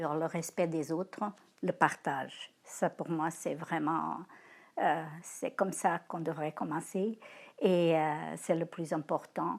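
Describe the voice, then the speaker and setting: A woman's fairly low voice with vocal fry, ordinary pitch variation and a very slow pace, on a very clean recording with a silent background. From Portugal. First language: Portuguese (speaking French). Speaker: grandparent interviewee. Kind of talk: testimony interview. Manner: halting, many hesitations.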